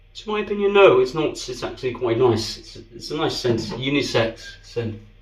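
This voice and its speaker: A man's pitch swings very widely as he talks at a moderate pace, with audible room echo and noticeable background noise. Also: fairly high pitch for a man, big swings in loudness. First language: Danish. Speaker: shaving video creator. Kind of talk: product review. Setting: bathroom.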